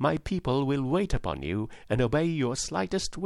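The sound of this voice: An unforced reading voice comes through in this recording.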